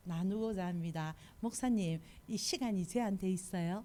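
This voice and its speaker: A woman with a Busan accent speaks at medium pitch, her tone dark and mellow and her pitch variation ordinary. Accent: Busan dialect (Gyeongsang). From South Korea, Busan. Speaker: missionary preacher. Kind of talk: sermon. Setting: church service.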